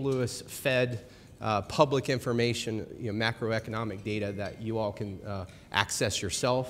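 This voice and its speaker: Light background noise sits behind a man who talks with fairly even intonation at a moderate speed. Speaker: presenter. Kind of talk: presentation talk. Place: hall.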